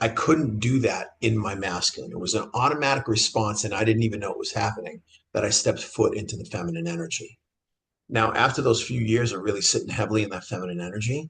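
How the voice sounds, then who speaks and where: With an American accent, a man of medium pitch speaks at a fairly quick pace in a somewhat breathy voice with ordinary pitch variation. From Boston. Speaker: men's transformational coach. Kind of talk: interview answer.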